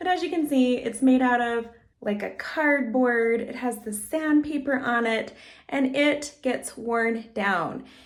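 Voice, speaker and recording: Speaking very slowly in a high voice, a woman uses lively intonation, and room echo can be heard. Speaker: lifestyle vlogger. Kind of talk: casual product walkthrough vlog. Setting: at home.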